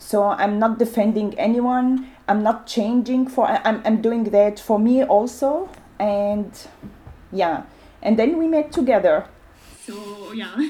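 A woman's somewhat breathy, dark, mellow voice at a fairly high pitch and a very slow pace. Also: ordinary pitch variation. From Syria. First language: Arabic. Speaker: community radio maker. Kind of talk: interview. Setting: recording alone at home. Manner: halting.

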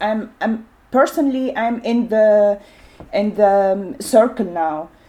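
A woman with an Arabic accent speaks in a fairly high voice with ordinary pitch variation. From Syria. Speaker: community radio maker. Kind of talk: interview. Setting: recording alone at home. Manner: halting.

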